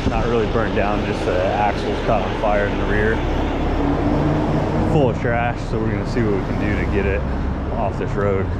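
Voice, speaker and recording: Speech comes at a moderate pace with long, frequent pauses. Loud background noise fills the dry recording, which has no echo. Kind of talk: casual work narration and planning. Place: street. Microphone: phone near.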